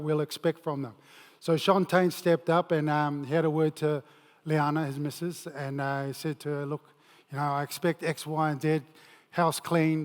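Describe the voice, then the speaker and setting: A New Zealand accent at a moderate pace with fairly even intonation, dry and close with no echo, very clean with a silent background. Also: man. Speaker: former rugby player and mental health speaker. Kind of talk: motivational talk. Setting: stage with audience.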